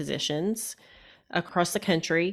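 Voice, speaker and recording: Speaking at a moderate pace, a woman uses a normal speaking voice. Her pitch sits fairly low. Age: 40s. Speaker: physician turned interior designer and life coach. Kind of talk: interview. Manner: reflective, with frequent fillers.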